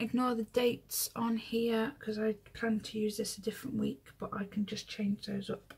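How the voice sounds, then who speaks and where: A woman talks at a moderate pace in a flat monotone, with hardly any pauses. Her voice is somewhat breathy. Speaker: planner hobby vlogger. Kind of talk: casual tutorial chat. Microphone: phone near.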